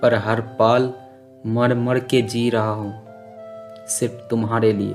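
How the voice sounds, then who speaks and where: A man talks with a medium pitch and monotone, flat intonation. Music sounds in the background. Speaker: voice-over narrator. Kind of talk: emotional sad love story monologue. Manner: slow, sorrowful.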